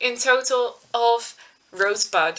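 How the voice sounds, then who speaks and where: A woman with a Dutch accent and fairly even intonation, plus noticeable background noise. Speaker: knitting podcaster. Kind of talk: casual vlog chat. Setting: webcam recording at home.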